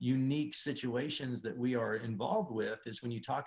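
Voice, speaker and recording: He has an ordinary speaking voice, medium in pitch, at a moderate pace with ordinary pitch variation. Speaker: auctioneer. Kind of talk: interview answer. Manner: thoughtful, relaxed, with filler words.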